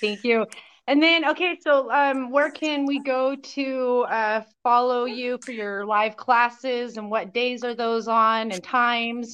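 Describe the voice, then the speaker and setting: Against a quiet background, a woman speaks at a very slow pace in a high pitch with ordinary pitch variation. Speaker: podcast host. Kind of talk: casual interview.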